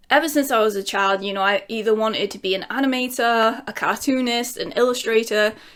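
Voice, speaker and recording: In a very clean recording with a silent background, a woman with a Lincolnshire accent talks at a fairly high pitch and fairly quick pace, with fairly even intonation and hardly any pauses. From England, Lincolnshire. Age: 30s. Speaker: YouTuber. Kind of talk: casual Q&A vlog.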